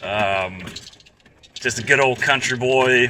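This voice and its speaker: With a slight Southern US accent, a man speaks at a very slow pace and medium pitch. His intonation stays fairly even under noticeable background noise. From Georgia, US South. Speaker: restaurant franchise operator. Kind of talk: casual chat. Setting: outdoors on a golf course.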